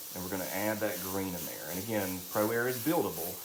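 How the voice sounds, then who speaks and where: A man with a Southern accent talks at a fairly quick pace, his pitch fairly low with ordinary variation. Noticeable background noise and audible room echo are present. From US South, Alabama (St. Clair County). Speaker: drag queen and makeup artist. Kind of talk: live makeup tutorial. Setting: live stream. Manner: chatty, talkative.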